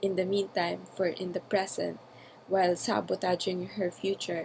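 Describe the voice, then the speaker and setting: The delivery is fairly slow and monotone, with flat intonation. A non-native accent and vocal fry run through it. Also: woman. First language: not English. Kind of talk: personal audio journal, spontaneous talk. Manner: hesitant, with fillers.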